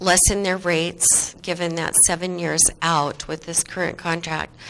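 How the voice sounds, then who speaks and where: Her fairly low pitch and fairly even intonation mark this woman's speech. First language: not English. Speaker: city commissioner. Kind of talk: public meeting discussion. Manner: halting.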